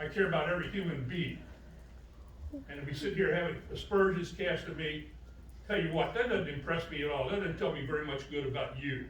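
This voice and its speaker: With noticeable background noise and audible room echo, a man talks at a fairly quick pace in a fairly high pitch with ordinary pitch variation. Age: 70s. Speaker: city councilman, retired army colonel. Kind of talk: public meeting statement. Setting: city council meeting. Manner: animated.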